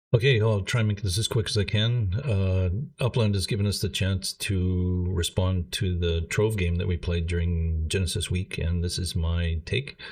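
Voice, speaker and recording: The voice is somewhat breathy, moving at a moderate pace with hardly any pauses and ordinary pitch variation against a quiet background. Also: man, very deep, low pitch for a man. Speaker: gaming channel creator. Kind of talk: casual commentary monologue.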